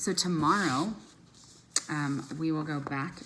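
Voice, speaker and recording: Amid noticeable background noise and audible room echo, a woman speaks with a very deep, low pitch and lively intonation. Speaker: teacher reading aloud to students. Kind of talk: casual chat with students. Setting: at home. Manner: loud.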